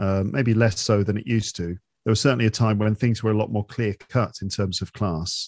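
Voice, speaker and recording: A man with a slight London accent talks at a fairly quick pace, fairly low in pitch, with fairly even intonation. The sound is dry and close with no echo, over a quiet background. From London, England. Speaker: English teacher and podcaster. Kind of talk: casual interview chat.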